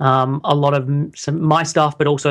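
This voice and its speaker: Over a quiet background, a man with an Australian accent talks at a moderate pace, his fairly high voice monotone and flat. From Australia, Sydney. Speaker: health coach. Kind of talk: interview. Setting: call.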